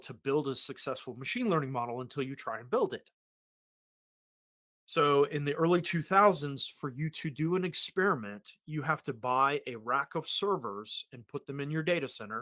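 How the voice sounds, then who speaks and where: In an American accent, the speaker uses a bright, sharp tone, lively intonation and big swings in loudness at a moderate pace, on a very clean recording with a silent background. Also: man. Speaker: technology podcast co-host and consultant. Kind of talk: conversational tech podcast explanation.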